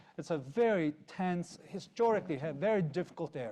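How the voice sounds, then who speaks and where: A man's fairly high, dark, mellow voice in a Georgian accent, with lively intonation and a quiet background. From Georgia (country). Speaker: panelist, democracy expert. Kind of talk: conference panel discussion. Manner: halting, many fillers.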